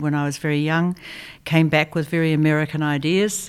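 With a New Zealand accent, a woman speaks at a fairly quick pace. Her very deep, low pitch stays monotone and flat. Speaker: design educator and institute founder. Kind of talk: interview.

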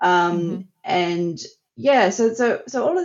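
Speaking with an Australian accent, a woman uses lively intonation at a medium pitch. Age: 50s. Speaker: psychology researcher. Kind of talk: interview.

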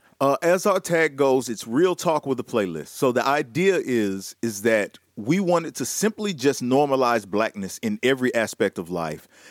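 A man with a Southern US accent speaks at a moderate pace and a medium pitch, with very wide pitch swings and hardly any pauses, in a dry, close sound with no echo. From US South. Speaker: radio host. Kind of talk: casual chat. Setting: video call.

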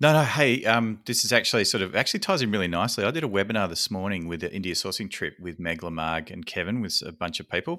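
In a very clean recording with a silent background, a man with an Australian accent talks at a very fast pace, his tone bright and sharp and his intonation lively. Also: hardly any pauses. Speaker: podcast host. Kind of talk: casual interview chat; podcast intro announcements.

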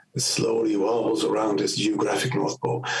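A man with a Dutch accent. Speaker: independent researcher and engineer. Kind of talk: explanatory interview. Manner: halting, hesitant with repetitions.

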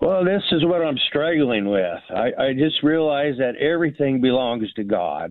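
A man with a fairly high pitch talks at a moderate pace with lively intonation. Hardly any pauses appear. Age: 60s. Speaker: retiree, caller. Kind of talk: phone-in question. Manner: halting.

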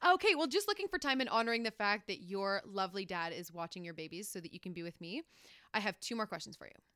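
A woman with a North American accent speaks very fast at a medium pitch, her tone bright and sharp and her intonation lively. Her loudness swings widely, and the sound is dry and close with no echo in a very clean recording over a silent background. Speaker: podcast host. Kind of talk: casual chat; scripted outro. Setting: hotel room.

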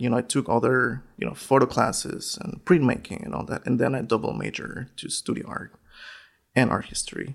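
The voice has a Spanish accent. It moves at a moderate pace. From northern Mexico. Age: 30s. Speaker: photographer and educator. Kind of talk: interview.

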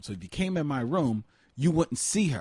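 A man with a dark, mellow tone swings very widely in pitch. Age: 40s. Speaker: film podcast co-host. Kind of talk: casual chat. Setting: studio, in person with co-host.

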